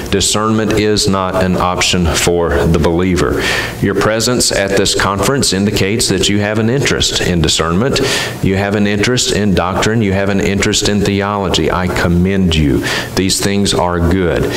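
A man with a fairly low pitch speaks at a moderate pace, with ordinary pitch variation and very even loudness. Light background noise and audible room echo come through. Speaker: conference speaker. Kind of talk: sermon. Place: church. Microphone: headset.

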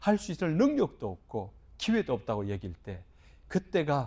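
Somewhat breathy, a man speaks at a moderate pace. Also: very clean recording, silent background. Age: 50s. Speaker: pastor. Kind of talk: sermon.

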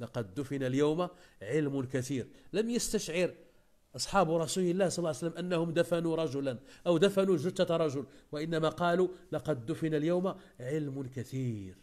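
The background is quiet. A man with a fairly high voice talks at a moderate pace with ordinary pitch variation. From Morocco. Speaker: Islamic preacher. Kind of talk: religious lesson. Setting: live online session. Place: home room. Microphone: earbuds.

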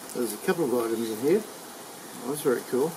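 A man talks at a fairly quick pace. Noticeable background noise sits behind him. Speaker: unboxing vlogger. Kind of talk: casual vlog chat. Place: garden. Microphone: camera far.

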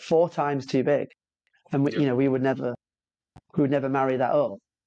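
A man talks in a British accent with a dark, mellow tone. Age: 30s. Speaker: podcast host, heating product business owner. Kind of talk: casual interview chat.

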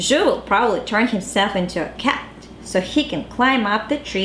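Natural-voiced reading aloud of a text

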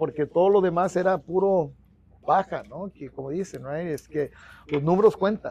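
A man's high voice, dark and mellow in tone, with big swings in loudness and a dry sound without echo. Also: ordinary pitch variation, moderate pace. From US-raised Mexican-American. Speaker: union organizer; interviewee. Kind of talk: podcast interview; interview answer. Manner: halting, many repetitions; casual with English fillers. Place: office. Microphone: lapel.

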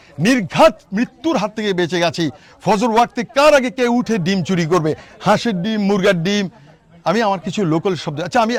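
A man speaks at a high pitch in an animated tone with lively intonation. There is noticeable background noise behind him. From Bangladesh, Noakhali (Hatiya island). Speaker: YouTuber. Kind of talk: travel vlog.

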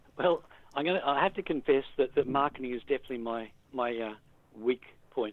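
At a fairly quick pace, a man with an Australian accent talks at a medium pitch with ordinary pitch variation. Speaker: author. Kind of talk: interview. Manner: hesitant, many fillers.

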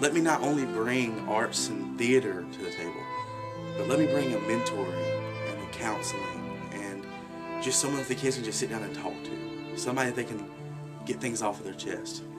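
Loud music plays in the background as a man speaks at a moderate pace. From Alabama. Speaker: youth theater director. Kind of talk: award application appeal to camera. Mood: earnest, heartfelt. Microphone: webcam.

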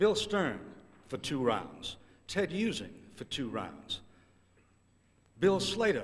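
With vocal fry and very wide pitch swings, a man talks at a fairly slow pace. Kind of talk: introduction speech. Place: hall. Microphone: podium.

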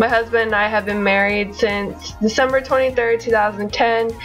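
A woman with an American accent speaks at a moderate pace as faint music plays in the background. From Florida. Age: 20s. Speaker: military wife. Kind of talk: casual talk to camera. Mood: friendly, upbeat. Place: home room. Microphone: webcam.

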